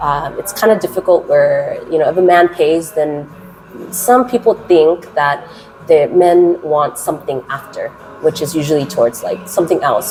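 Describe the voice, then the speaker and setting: With music playing in the background, a woman with an American accent speaks at a moderate pace, her fairly low pitch carried by lively intonation. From US West Coast, Los Angeles. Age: 30s. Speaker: English teacher. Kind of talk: interview. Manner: trying to keep voice down.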